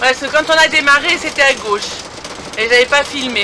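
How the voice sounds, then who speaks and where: A woman speaks in a raised, projected voice with ordinary pitch variation. Noticeable background noise sits behind her. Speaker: motorhome traveler vlogger. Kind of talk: casual vlog chat. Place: car. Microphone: phone near.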